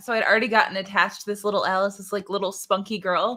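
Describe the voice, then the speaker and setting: Her voice has a medium pitch and a bright, sharp tone. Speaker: voice actor. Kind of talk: casual chat.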